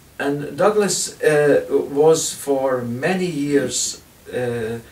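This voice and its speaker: A man with a fairly high pitch is heard with audible room echo and light background noise. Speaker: whisky reviewer. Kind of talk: whisky review talk to camera. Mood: relaxed, enthusiastic. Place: home room. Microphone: camera far.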